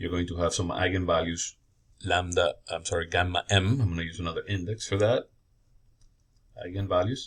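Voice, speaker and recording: In a very clean recording with a silent background, a man with a very deep, low pitch and a somewhat breathy voice talks at a fairly quick pace, using fairly even intonation and long, frequent pauses. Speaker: engineering professor. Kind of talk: lecture.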